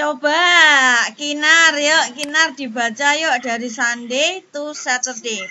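There is noticeable background noise as a woman speaks at a high pitch with ordinary variation. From Indonesia. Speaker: primary school teacher. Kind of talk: online class lesson. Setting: video call. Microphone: video call.

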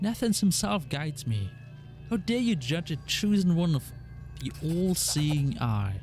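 Delivered at a moderate pace, a put-on character voice comes through with hissing and clear music in the background. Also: man, fairly high pitch for a man. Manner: hissing through clenched teeth.

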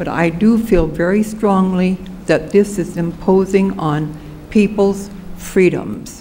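Noticeable background noise sits behind a woman speaking at a very slow pace. Her medium pitch carries fairly even intonation. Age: 80s+. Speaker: resident giving public comment. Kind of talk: public comment. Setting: city commission chamber.

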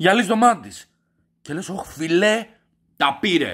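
A raised, projected voice with an animated, furious tone, bright and sharp, lively in intonation, over a quiet background. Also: man. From Greece. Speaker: comedy vlogger. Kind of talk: angry rant / comedy review. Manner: loud, furious, sweary and sarcastic; animated, exasperated, repeating words and stuttering. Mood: mock outrage. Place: home room. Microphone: webcam.

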